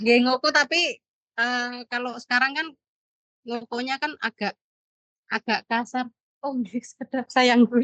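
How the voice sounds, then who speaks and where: A woman with a high pitch and a bright, sharp tone speaks at a fairly slow pace with fairly even intonation and long, frequent pauses, the sound dry and close with no echo. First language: Javanese (speaking Indonesian). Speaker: translator, parent, travel office worker. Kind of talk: casual chat in academic seminar discussion.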